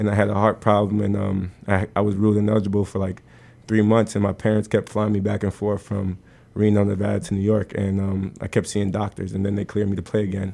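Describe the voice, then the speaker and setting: Over a quiet background, a man with an American accent speaks at a very fast pace in a dark, mellow tone with monotone, flat intonation. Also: fairly low pitch for a man. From US Northeast, New Jersey. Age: 20s. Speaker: basketball coach. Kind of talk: casual interview. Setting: studio.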